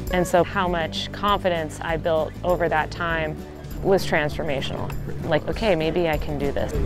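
Against clear music in the background, a woman speaks at a moderate pace in a fairly low pitch with fairly even intonation, the sound dry with no echo. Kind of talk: interview answer. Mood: warm, reflective.

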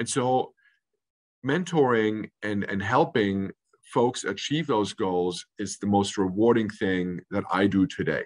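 In an American accent, a man uses an ordinary speaking voice with a fairly low pitch and ordinary pitch variation. He goes at a fairly slow pace with a quiet background. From Munich, Germany, then California from age 13. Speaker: hotel general manager. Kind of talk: interview. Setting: video call. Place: office. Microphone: video call.

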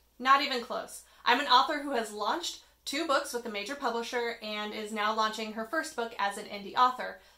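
Audible room echo around a woman's voice of ordinary pitch variation. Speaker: author vlogger. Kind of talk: casual vlog chat. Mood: friendly, self-deprecating. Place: home room. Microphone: phone near.

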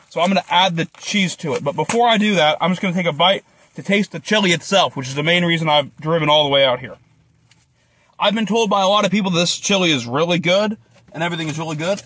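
Very fast and high-pitched, a man talks in a bright, sharp tone with ordinary pitch variation and a dry sound with no echo. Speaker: food vlogger. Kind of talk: casual vlog chat. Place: car. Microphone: phone near.

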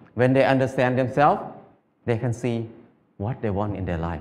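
A man's dark, mellow voice with a Thai accent, lively intonation and a moderate pace. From northeastern Thailand (Isan); Thailand. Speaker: farmer. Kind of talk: talk to audience; public talk. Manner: halting. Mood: calm, warm, gently humorous. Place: stage. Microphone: headset.

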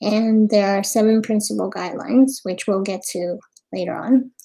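Faint music plays in the background as the speaker, with an American accent, keeps a moderate pace and fairly even intonation. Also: woman. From US, Queens, New York; New York. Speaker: event moderator presenting slides. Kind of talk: webinar presentation. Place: home room. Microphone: webcam.

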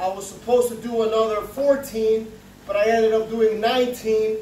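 Light background noise and audible room echo. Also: man. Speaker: fitness vlogger. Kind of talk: casual vlog chat. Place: home room. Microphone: camera far.

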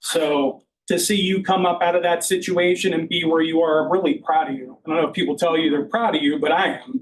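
Loud and at a fairly quick pace, a man speaks with a high pitch. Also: ordinary pitch variation, hardly any pauses. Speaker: county records department head. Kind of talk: public meeting tribute.

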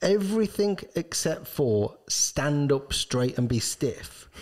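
A man talks with lively intonation, and the background is quiet. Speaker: ski shop owner and co-host. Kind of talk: casual chat. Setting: studio. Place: studio. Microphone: studio mic.

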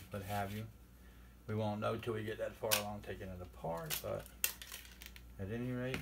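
A man talks while loud noise fills the background. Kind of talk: tutorial. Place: workshop. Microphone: camera far.

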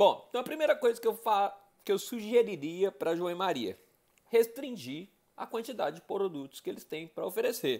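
Over a quiet background, a man with a high pitch speaks at a moderate pace with very wide pitch swings. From Brazil, Belo Horizonte (Minas Gerais). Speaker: education and nonprofit management professional presenting a business case. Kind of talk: casual presentation of a case study. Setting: self-recorded video. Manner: conversational, with fillers and self-corrections. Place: bathroom. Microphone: earbuds.

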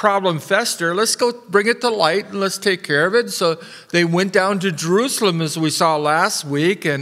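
A high-pitched male voice at a moderate pace, with hardly any pauses, ordinary pitch variation and a quiet background. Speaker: preacher. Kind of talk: sermon. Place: church. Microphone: podium.

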